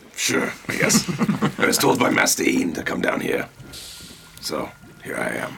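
A raspy put-on character voice comes from a man speaking at a moderate pace.

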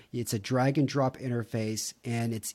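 Medium-pitched speech from a man with a Texan accent, monotone and flat in intonation, at a moderate pace. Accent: Texan American. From Texas, Houston. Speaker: marketing professional. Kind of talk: casual interview.

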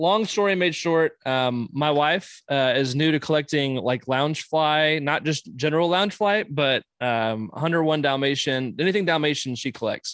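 Speaking at a moderate pace with hardly any pauses, a man has an ordinary speaking voice, fairly high pitch, ordinary pitch variation and very even loudness. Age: 30s. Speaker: collector. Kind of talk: casual chat; news reading.

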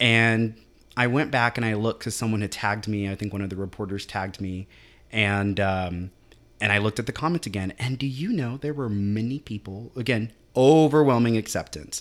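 In a very clean recording with a silent background, a man talks at a fairly quick pace in an unremarkable speaking voice, fairly low in pitch with ordinary pitch variation. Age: 30s. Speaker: city councilman and teacher. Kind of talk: casual chat. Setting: studio.

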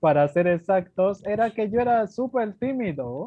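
A man is speaking. His pace is fairly slow. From Dominican Republic. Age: 20s. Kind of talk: radio interview testimony. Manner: formal.

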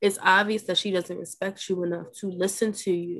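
A woman speaks at a medium pitch with fairly even intonation. The background is quiet. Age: 20s. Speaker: sorority member guest. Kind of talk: casual chat.

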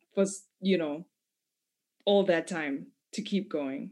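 A woman speaks at a medium pitch. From Zimbabwe. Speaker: rap artist. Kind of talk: casual interview.

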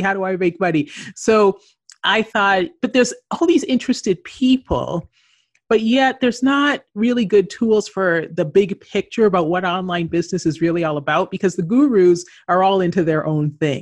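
A woman speaks in a normal speaking voice with a Canadian accent. Her pitch sits at a medium level, and her intonation is lively. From Canada. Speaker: entrepreneur and author. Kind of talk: interview.

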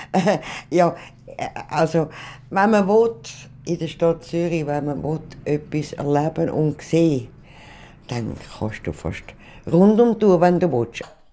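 The delivery is very slow. Long, frequent pauses break it up. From rural canton Zurich, Switzerland. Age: 80s+. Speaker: retiree. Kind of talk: interview testimony.

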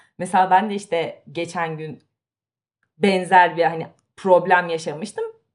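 Speaking in an animated tone, a woman with a fairly low pitch talks at a fairly slow pace, with long, frequent pauses and big swings in loudness. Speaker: podcast co-host. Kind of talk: casual chat.

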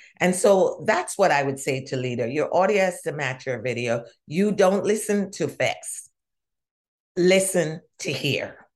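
Speaking with a Jamaican accent, a woman uses lively intonation at a fairly slow pace. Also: medium pitch for a woman. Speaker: diversity consultant. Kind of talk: interview conversation. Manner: animated.

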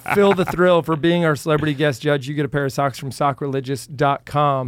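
A plain, everyday voice moves at a fairly quick pace with hardly any pauses. Its pitch varies in an ordinary way. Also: man. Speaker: podcast host. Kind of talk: casual interview chat. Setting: studio.

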